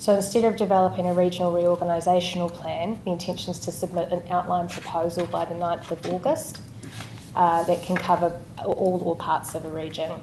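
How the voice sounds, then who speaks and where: In a New Zealand accent, a soft-spoken woman talks with monotone, flat intonation. Audible room echo and noticeable background noise sit around her voice. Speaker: local government director. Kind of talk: council meeting presentation.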